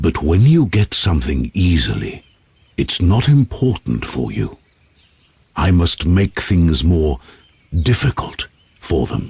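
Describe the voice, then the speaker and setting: The speaker uses a put-on character voice with very wide pitch swings. Delivery is fairly slow, with long, frequent pauses. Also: man, very deep, low pitch for a man. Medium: audio drama. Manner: stern, commanding.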